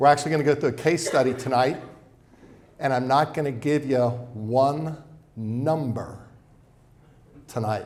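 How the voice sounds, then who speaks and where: With audible room echo, a man speaks at medium pitch and with fairly even intonation. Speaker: financial advisor. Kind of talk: seminar presentation. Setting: event room with live audience. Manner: fast.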